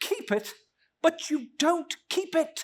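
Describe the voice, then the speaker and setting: This put-on character voice is squeaky, with an extremely high pitch. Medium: read story. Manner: warm, earnest.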